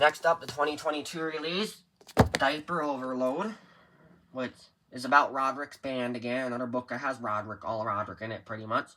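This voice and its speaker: A man is speaking in a medium pitch. The rise and fall of his voice is ordinary. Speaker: book collector showing his collection. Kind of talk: casual show-and-tell video. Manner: fast; hurried.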